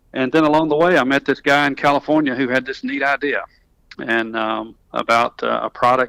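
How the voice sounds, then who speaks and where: A man with a Southern accent at a fairly quick pace, in a dry, close sound with no echo. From US South, North Alabama. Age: 50s. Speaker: tech company executive, engineer. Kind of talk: interview. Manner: many fillers and restarts.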